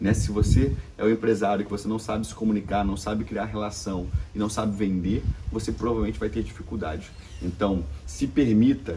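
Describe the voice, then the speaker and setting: A man speaks with a fairly low pitch at a moderate pace. There is audible room echo. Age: 20s. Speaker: entrepreneur. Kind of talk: interview.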